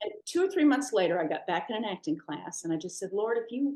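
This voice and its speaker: A woman's dark, mellow tone at a fairly quick pace, with lively intonation. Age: 60s. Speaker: actress. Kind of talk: interview.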